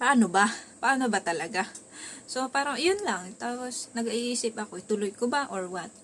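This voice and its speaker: Her intonation is lively as this woman speaks at a moderate pace. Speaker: vlogger. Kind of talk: casual vlog monologue. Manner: soft-spoken at times, quieter when others are home.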